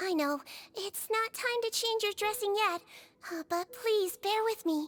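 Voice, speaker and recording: A put-on character voice, squeaky and soft-spoken, at an extremely high pitch and a moderate pace. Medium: video game. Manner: soft, hesitant, starts with "uh".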